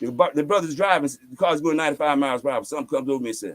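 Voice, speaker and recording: Pitched fairly high, a man rattles along at a very fast pace with lively intonation and vocal fry, the sound dry and close with no echo. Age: 70s. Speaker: spiritual teacher. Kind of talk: interview storytelling. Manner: animated.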